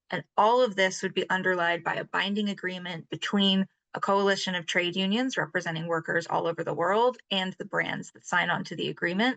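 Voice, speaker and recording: At a fairly quick pace, a woman of medium pitch speaks in a bright, sharp tone with fairly even intonation, the sound dry and close with no echo. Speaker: labor rights advocate. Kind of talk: panel discussion answer. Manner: fast.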